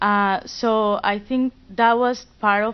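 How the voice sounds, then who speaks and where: A woman speaks in a Spanish accent with monotone, flat intonation. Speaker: student fellow. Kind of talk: panel discussion.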